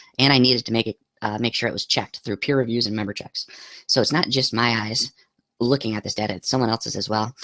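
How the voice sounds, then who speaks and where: A man at a medium pitch talks very fast with a bright, sharp tone and fairly even intonation, in a dry, close sound with no echo. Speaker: teacher and graduate student. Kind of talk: academic presentation narration.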